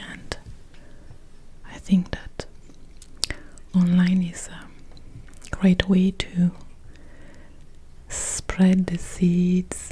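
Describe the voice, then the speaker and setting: A soft-spoken, soothing voice at a very slow pace, monotone and flat, with big swings in loudness, long, frequent pauses and noticeable background noise. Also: woman, medium pitch for a woman. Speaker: mindfulness teacher and guided meditation producer. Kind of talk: ASMR soft-spoken announcement to camera.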